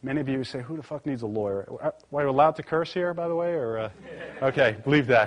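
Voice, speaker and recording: Someone with a New York accent talks at a very fast pace with ordinary pitch variation. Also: man. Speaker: corporate lawyer. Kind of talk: live presentation to audience. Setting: live event with audience, streamed. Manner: casual, conversational with fillers.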